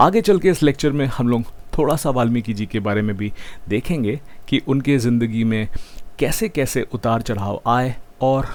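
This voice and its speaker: A man does the talking. Very wide swings show up in his pitch. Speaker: math teacher. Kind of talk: online lecture. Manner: mixes Hindi and English.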